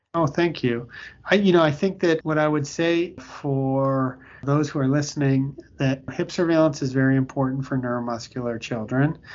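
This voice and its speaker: A man's fairly high voice, a normal speaking voice with fairly even intonation at a moderate pace. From Canada (Toronto). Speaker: pediatric orthopedic surgeon. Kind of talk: interview.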